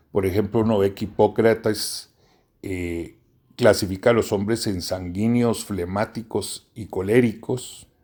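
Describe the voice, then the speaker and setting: Very slow speech from a man, dark and mellow in tone with fairly even intonation, on a very clean recording with a silent background. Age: 60s. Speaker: professor. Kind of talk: lecture. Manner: formal.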